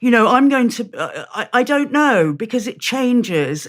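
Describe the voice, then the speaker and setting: In a British accent, a woman with a fairly high pitch and vocal fry speaks at a moderate pace. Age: 60s. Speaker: author and campaign group founder. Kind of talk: interview conversation. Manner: halting, many repetitions.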